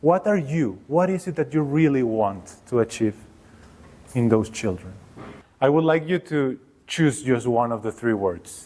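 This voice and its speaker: A man with a Mexican accent speaks in a medium pitch and a dark, mellow tone, with lively intonation and long, frequent pauses, on a very clean recording with a silent background. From Mexico. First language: Spanish. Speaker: workshop leader, education researcher. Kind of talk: workshop presentation. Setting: workshop room with live audience. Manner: hesitant, with fillers.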